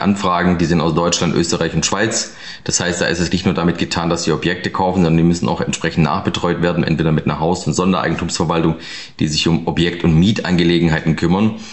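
Very deep and low, a man's voice rushes at a very fast pace with fairly even intonation. Background noise is noticeable. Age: 30s. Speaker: real estate investor and advisor. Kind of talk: interview. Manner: casual, many filler sounds.

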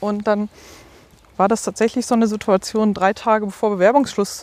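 A woman with an ordinary speaking voice speaks at medium pitch and a fairly quick pace, her intonation fairly even. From Ruhr area, Germany. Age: 30s. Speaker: deacon. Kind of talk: interview.

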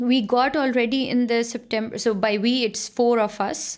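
At a moderate pace, a speaker with a Pakistani accent talks in a fairly even intonation. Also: woman. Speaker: researcher and lecturer. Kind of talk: interview.

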